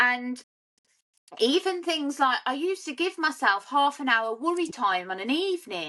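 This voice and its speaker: A woman uses a raised, projected voice at a high pitch, with very wide pitch swings. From English Midlands, South Staffordshire. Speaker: sober life coach. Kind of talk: testimony.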